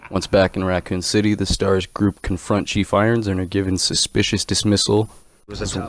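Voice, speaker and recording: The speech comes at a fairly quick pace in a flat monotone. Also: man. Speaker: gaming YouTuber. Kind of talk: lore narration.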